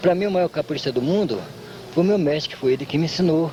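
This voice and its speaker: A man's fairly high voice, with ordinary pitch variation, is heard against noticeable background noise. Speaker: capoeira master. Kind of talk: interview.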